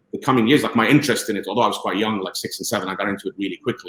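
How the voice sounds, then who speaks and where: A man talks with a fairly low pitch. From UAE (Abu Dhabi), Lebanese-Palestinian family. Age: 50s. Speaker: football journalist. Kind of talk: podcast interview. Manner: hesitant, many fillers and repeats.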